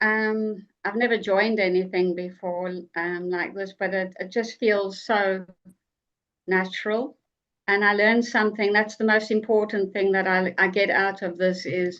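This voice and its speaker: A woman with a South African accent speaks at a moderate pace and medium pitch in a monotone, flat intonation. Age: 60s. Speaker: online group member. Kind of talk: casual group video meeting. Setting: video call.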